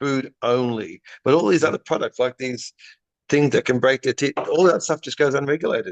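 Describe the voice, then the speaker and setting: The speaker has an Australian accent and ordinary pitch variation. The sound is dry and close, with no echo. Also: man. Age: 60s. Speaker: pet dental care business founder. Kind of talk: podcast interview.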